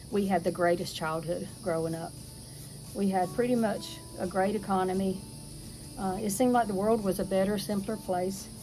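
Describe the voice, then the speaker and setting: A woman speaks at a medium pitch with a strong Southern US accent. Her pace is moderate and her intonation fairly even. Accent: strong rural Southern. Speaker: homesteading video host. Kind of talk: casual chat. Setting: outdoors. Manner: relaxed.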